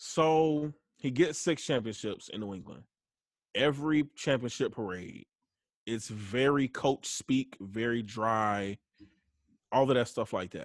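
Against a quiet background, a man with a Southern US accent speaks at a fairly slow pace with long, frequent pauses, the sound dry and close with no echo. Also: medium pitch for a man, ordinary pitch variation. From US South. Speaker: guest co-host, sports fan. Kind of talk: casual chat.

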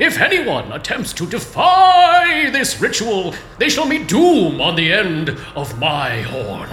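A put-on character voice goes at a fairly slow pace, with slight echo and clear background noise. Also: man, high pitch for a man. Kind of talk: fantasy roleplay, grandiose. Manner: solemn, archaic, chivalrous.

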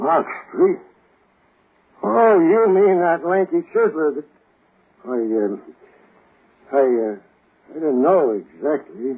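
Using a put-on character voice with a husky, rough edge, a man speaks fairly high and slowly, with ordinary pitch variation and long, frequent pauses.

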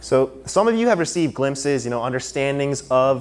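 A man's normal speaking voice at a medium pitch, with ordinary pitch variation and a fairly quick pace. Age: 20s. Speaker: preacher. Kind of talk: sermon. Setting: church service, live.

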